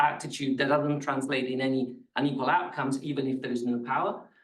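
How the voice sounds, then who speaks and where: Talking at a fairly quick pace, a man has a fairly high pitch. The room echo is audible. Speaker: academic researcher presenting a paper. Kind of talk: academic seminar talk.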